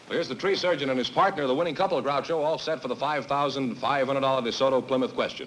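There is light background noise as a man speaks at a very fast pace with hardly any pauses. His pitch variation is ordinary. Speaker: show announcer. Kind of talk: announcing and ad reads. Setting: studio with audience. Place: studio. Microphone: studio mic.

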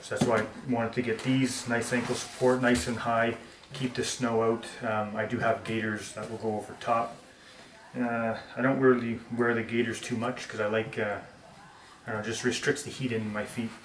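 Speaking at a moderate pace and medium pitch, a man shows little pitch movement, with audible room echo around him.

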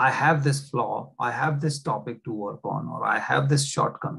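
Somewhat breathy, a man speaks very slowly against a quiet background. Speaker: presenter. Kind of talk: lecture.

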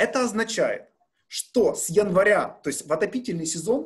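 Here a man speaks in a high pitch. The background is quiet. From Ukraine. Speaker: gas company executive. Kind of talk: press briefing. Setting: video call. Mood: calm, friendly, explanatory. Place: office. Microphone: webcam.

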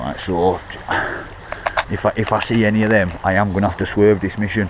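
A man at a fairly low pitch and moderate pace, dry with no echo, over noticeable background noise. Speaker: urban explorer vlogger. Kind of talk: casual vlog chat. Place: waterside.

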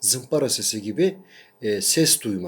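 Speaking at a fairly slow pace, a man uses lively intonation and vocal fry on a very clean recording with a silent background. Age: 40s. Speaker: academic and patient sharing his illness experience. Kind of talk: personal video testimony. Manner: hesitant with frequent fillers.

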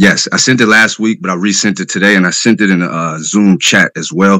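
A man with a very deep, low pitch and a bright, sharp tone talks at a fairly quick pace, the sound dry with no echo over a quiet background. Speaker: self-represented defendant. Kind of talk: court hearing. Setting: courtroom. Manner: argumentative. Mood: frustrated, confrontational. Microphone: video call.

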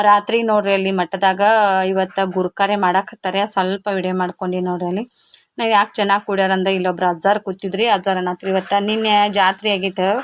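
A woman of medium pitch speaks in a North Karnataka accent with monotone, flat intonation. The sound is dry and close with no echo, over a quiet background. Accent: north Karnataka Kannada dialect. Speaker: village vlogger and tailor. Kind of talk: casual vlog narration.

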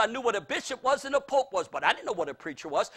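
A man's voice is extremely high, bright and sharp, raised and projected. The background is quiet. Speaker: preacher. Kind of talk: sermon. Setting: church. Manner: animated. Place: hall.

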